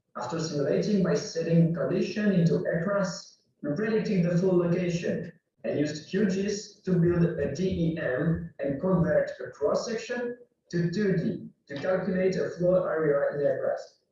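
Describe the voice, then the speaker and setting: With a French accent, a man talks at a moderate pace in a high-pitched voice with a dark, mellow tone. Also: ordinary pitch variation. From France. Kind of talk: conference presentation.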